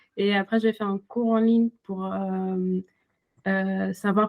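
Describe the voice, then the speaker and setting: A woman's medium-pitched voice with a non-native accent, fairly slow and monotone, flat in intonation, with a dry, close sound and no echo. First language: not French (speaking French). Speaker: illustrator and author. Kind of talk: interview. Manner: halting, many hesitations.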